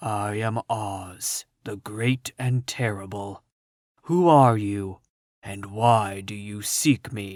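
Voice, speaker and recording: A man speaks quietly in a put-on character voice, fairly low in pitch. His pace is very slow. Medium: read story. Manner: calm, stern.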